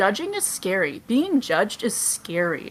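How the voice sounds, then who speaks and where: A woman's bright, sharp voice swings very widely in pitch. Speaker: cosplayer and podcast co-host. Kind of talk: casual interview chat. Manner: fast when talking about cosplay.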